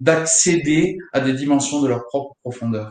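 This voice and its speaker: Fairly high in pitch, a man talks at a fairly slow pace with ordinary pitch variation. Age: 30s. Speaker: guitar teacher. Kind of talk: casual chat. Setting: online live stream.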